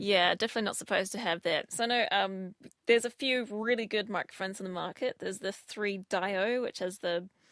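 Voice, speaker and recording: A woman's plain, everyday voice at medium pitch, fairly quick and fairly even in intonation, dry and close with no echo on a very clean recording with a silent background. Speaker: trial co-host discussing ASMR. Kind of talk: casual podcast conversation.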